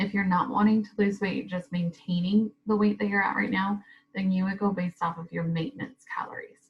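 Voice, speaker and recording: In an ordinary speaking voice, a woman talks at a fairly quick pace with a medium pitch and fairly even intonation. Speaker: fitness vlogger. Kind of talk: tutorial. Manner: casual, many fillers.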